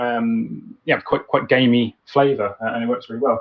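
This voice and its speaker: The voice belongs to a man with a British accent. It is medium in pitch. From UK. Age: 30s. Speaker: home cook guest. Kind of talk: casual chat. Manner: halting, many fillers.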